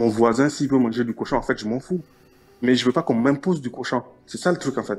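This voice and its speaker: With music in the background, a man in a Nigerien accent talks at a fairly quick pace, his medium pitch showing ordinary variation. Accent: Nigerien French accent, noticeable. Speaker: caller in a radio debate. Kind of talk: debate.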